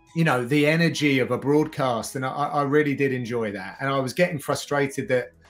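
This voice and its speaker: A man's fairly quick, fairly evenly intoned speech over music in the background. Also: fairly high pitch for a man. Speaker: MMA commentator and presenter. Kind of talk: interview conversation.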